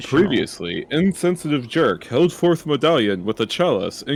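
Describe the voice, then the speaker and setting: A put-on character voice booms out with lively intonation. The pace is moderate. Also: man, fairly high pitch for a man. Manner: booming, matter-of-fact, expositional.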